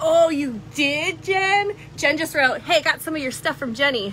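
Over light background noise, a woman uses a raised, projected voice with very wide pitch swings. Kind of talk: live shopping stream chat. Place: shop. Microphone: phone near.

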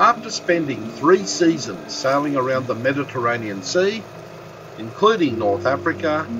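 Over music in the background, a man talks at a fairly slow pace with very wide pitch swings. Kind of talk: travel narration.

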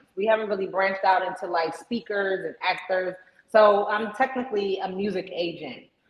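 A woman with an American accent and fairly even intonation, plus audible room echo. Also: moderate pace. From US East Coast, Maryland. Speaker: entertainment booking agent. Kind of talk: interview. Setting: video call. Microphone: video call.

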